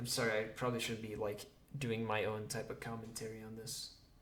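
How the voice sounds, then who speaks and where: A man with a medium pitch talks over noticeable background noise, and room echo is audible. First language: not English. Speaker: gaming youtuber. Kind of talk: reading game dialogue aloud. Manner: halting; casual.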